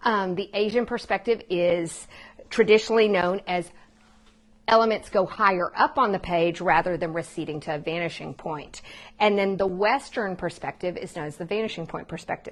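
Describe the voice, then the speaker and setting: Against a quiet background, a woman talks at a moderate pace and medium pitch, with ordinary pitch variation. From Texas. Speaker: art teacher. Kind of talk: live online art lesson for families. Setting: live online stream from home. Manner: animated.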